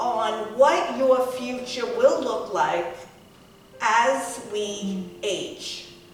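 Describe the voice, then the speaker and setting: Amid noticeable background noise and audible room echo, a woman speaks at a very slow pace with a high pitch. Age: 60s. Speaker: lifestyle vlogger. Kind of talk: casual vlog monologue. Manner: conversational.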